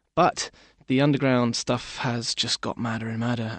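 A man with a British accent, medium pitch, fairly even intonation and moderate pace. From Britain. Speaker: music journalist. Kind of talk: interview.

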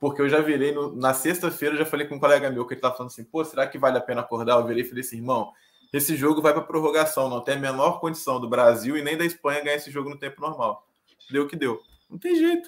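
Talking at a very fast pace, a man with fairly high pitch keeps a fairly even intonation. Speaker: podcast co-host. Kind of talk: casual chat.

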